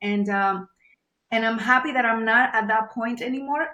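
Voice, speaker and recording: In a Venezuelan accent, the speaker moves at a fairly quick pace with fairly even intonation. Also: woman. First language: Spanish. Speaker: journalist and media producer. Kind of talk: interview. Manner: halting, many fillers.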